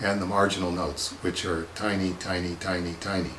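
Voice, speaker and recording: Over noticeable background noise and audible room echo, a man speaks in a very deep, low voice with monotone, flat intonation. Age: 60s. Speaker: comics artist. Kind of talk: casual monologue answering viewer questions. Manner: halting, many filler words.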